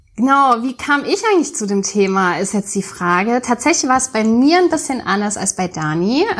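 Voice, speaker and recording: With very wide pitch swings, a woman talks at a moderate pace in a fairly high voice, hardly pausing at all. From Mainz area, Germany. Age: 30s. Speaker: podcast co-host. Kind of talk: casual podcast introduction.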